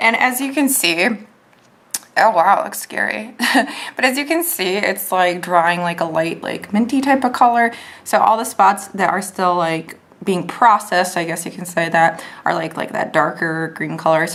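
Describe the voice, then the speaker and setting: Using a put-on character voice, a woman speaks in a raspy, medium-pitched tone with lively intonation at a moderate pace. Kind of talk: casual tutorial. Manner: stiff, hard to speak.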